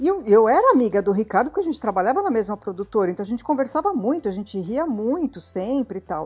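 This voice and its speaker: Over music in the background, a woman with a fairly high pitch talks at a very fast pace with hardly any pauses and very wide pitch swings. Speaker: film director. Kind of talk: casual chat.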